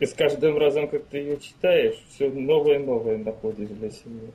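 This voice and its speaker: The pace is fairly slow, with ordinary pitch variation. It is a plain, everyday voice. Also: man. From Ukraine. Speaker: musician. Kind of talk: interview. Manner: terse.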